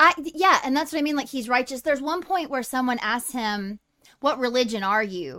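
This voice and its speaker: Woman's raised, projected voice, high-pitched, bright and sharp, with lively intonation at a moderate pace. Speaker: podcast co-host. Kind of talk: casual chat. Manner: loud, excitable.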